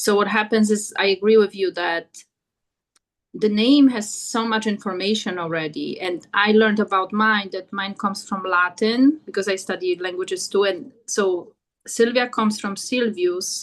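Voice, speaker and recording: Speaking with a Portuguese accent, a woman has a medium pitch. Her intonation is fairly even and her pace moderate. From Portuguese-speaking country. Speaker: podcast host and energy healer. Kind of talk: interview.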